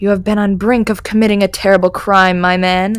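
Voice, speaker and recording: In a put-on character voice, a woman speaks at a fairly quick pace and a medium pitch, her intonation monotone and flat. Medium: read story.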